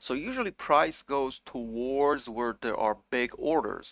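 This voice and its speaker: Someone with a non-native accent talks at a fairly slow pace with lively intonation, the sound dry and close with no echo over a quiet background. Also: man. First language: not English. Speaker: crypto trading YouTuber. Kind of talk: market analysis commentary. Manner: casual, with frequent fillers.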